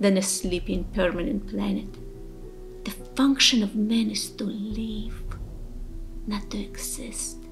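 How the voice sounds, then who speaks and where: Clear music plays in the background as the speech unfolds very slowly, broken by long, frequent pauses. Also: woman, ordinary pitch variation. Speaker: poetry reciter. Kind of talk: motivational poem reading. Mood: earnest, inspiring.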